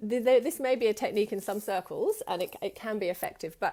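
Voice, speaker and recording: A woman talks in a dark, mellow tone. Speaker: women's circle facilitator and trainer. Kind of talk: live-streamed online teaching session. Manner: fast; warm, affectionate.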